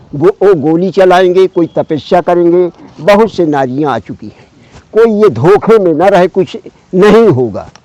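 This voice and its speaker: Over noticeable background noise, a man with a high pitch and lively intonation speaks at a fairly slow pace. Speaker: hermit ascetic holy man. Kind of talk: spiritual conversation.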